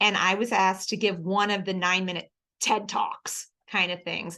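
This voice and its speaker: A woman with an American accent speaks fairly quickly at medium pitch in a bright, sharp, animated tone. The background is quiet. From Philadelphia, US East Coast. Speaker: church staff speaker. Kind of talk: coaching talk. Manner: fast.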